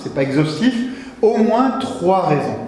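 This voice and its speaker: A man with a high pitch speaks fairly slowly with lively intonation. Noticeable background noise and audible room echo surround him. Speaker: guest preacher. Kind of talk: sermon.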